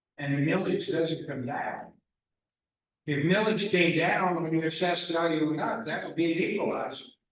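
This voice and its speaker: A man's high-pitched voice at a moderate pace, with fairly even intonation and audible room echo. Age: 80s+. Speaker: resident speaking at public comment. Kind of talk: public comment at town council meeting.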